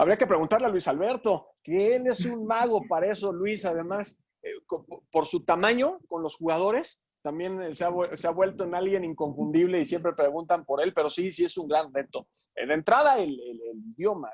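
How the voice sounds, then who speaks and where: A man's high-pitched voice with lively intonation, a moderate pace and hardly any pauses. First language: English (speaking Spanish). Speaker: sports commentator. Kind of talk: Q&A talk. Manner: halting, many fillers.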